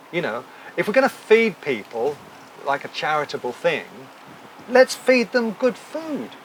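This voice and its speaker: Amid noticeable background noise, a high-pitched man with an English accent talks at a fairly slow pace, his very wide pitch swings broken by long, frequent pauses. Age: 60s. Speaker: talk show host. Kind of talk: casual chat. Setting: live audience at a hotel.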